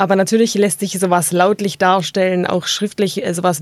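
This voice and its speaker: A woman with a fairly low pitch speaks in a monotone, flat way, the sound dry and close with no echo. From Tuttlingen district, southwest Germany. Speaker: linguist. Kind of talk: interview, expert explanation.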